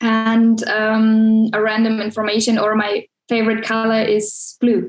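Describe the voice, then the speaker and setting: Fairly high-pitched woman's voice, monotone and flat, at a fairly slow pace with very even loudness over background music. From Germany. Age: 20s. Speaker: film production student. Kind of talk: online interview.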